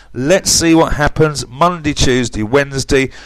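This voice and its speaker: In an English accent, a man speaks at a moderate pace. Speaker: forex trading commentator. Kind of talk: market analysis tutorial. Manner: animated.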